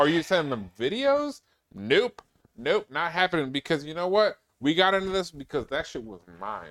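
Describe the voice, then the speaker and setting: A man speaks at a moderate pace and a high pitch, his pitch swinging very widely. The recording is very clean, with a silent background and a dry, close sound with no echo. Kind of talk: casual chat. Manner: casual, profane.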